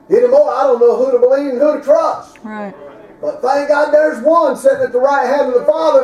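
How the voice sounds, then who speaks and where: A man with a Southern US accent talks at a fairly quick pace in an animated tone, his pitch extremely high and his loudness swinging widely, with audible room echo and light background noise. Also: ordinary pitch variation. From US South. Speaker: preacher. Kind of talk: sermon. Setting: church. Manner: animated, emphatic preaching in full flow, with punchy repeated phrases. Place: church. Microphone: camera far.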